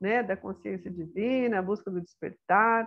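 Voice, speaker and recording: A woman talks rather slowly while music plays behind her. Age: 60s. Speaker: retired teacher and spiritual therapist. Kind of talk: autobiographical talk. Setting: guest on a program. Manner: halting.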